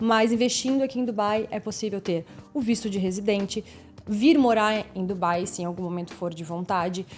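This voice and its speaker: Here is a woman with a normal speaking voice. Her pitch is fairly high, with ordinary pitch variation. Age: 30s. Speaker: podcast co-host, real estate agent. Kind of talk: podcast interview conversation.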